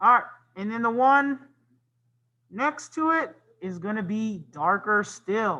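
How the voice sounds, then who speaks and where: Raising and projecting his voice, a man with a high pitch and a bright, sharp tone speaks at a fairly slow pace with lively intonation and long, frequent pauses. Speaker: art teacher. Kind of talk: tutorial.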